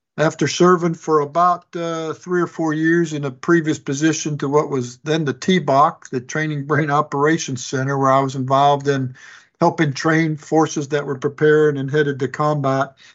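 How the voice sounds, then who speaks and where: A man's fairly high-pitched voice with an American accent, moderate pace, hardly any pauses, and monotone, flat intonation. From Chicago, Illinois. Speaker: senior army civilian executive, retired officer. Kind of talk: interview.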